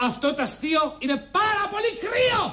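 A woman is shouting in a put-on character voice. Her pitch is extremely high and swings very widely. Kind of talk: indignant. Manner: shouting, angry.

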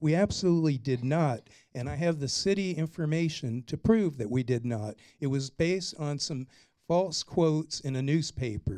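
On a very clean recording with a silent background, a man with a dark, mellow tone and fairly high pitch speaks at a moderate pace with ordinary pitch variation. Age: 60s. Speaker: city council candidate and former mayor. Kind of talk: candidate forum statement. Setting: public forum in a conference room.

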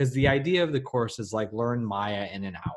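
A man's very fast speech against a quiet background. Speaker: online class instructor. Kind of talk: live webinar tutorial. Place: home room. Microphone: webcam.

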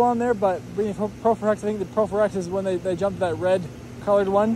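A man at a moderate pace with fairly even intonation, dry sound with no echo and light background noise. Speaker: car salesperson. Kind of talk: casual product walk around commentary. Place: street. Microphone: phone near.

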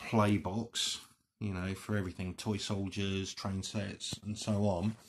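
Speaking at a fairly slow pace, a man has a fairly low pitch and a bright, sharp tone. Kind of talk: tutorial. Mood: relaxed, chatty. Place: home room. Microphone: phone near.

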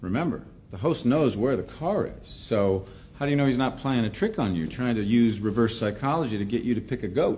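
Light background noise sits behind a man's voice. He talks at a fairly quick pace with lively intonation. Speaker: professor. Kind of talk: lecture. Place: classroom.

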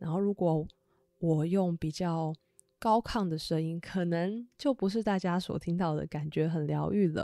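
In a very clean recording with a silent background, a woman talks fairly slowly in a fairly low pitch with a dark, mellow tone. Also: ordinary pitch variation. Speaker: tarot reader and podcast host. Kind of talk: solo podcast monologue. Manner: gentle.

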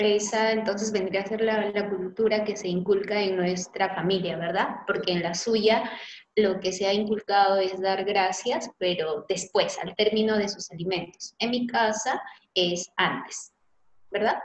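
A woman talks at a fairly slow pace and medium pitch, keeping her intonation fairly even. She has an unremarkable speaking voice. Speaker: teacher playing a student. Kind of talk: classroom dialogue.

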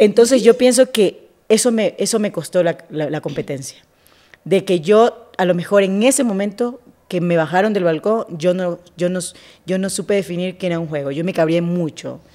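The woman has a dark, mellow tone and a medium pitch. She talks at a moderate pace with ordinary pitch variation. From Esmeraldas, Ecuador. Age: 30s. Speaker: TV journalist. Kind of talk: casual interview.

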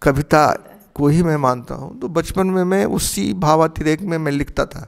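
Against a quiet background, a man speaks at a fairly slow pace in a fairly high pitch with ordinary pitch variation. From Bihar, Chhapra; Bihar. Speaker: retired philosophy professor. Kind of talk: interview. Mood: calm, reflective. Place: home room.

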